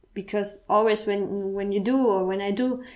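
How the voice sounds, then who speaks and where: A woman speaks with a strong German accent at a medium pitch. Her delivery is fairly slow, with monotone, flat intonation. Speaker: podcast host. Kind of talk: personal monologue. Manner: halting.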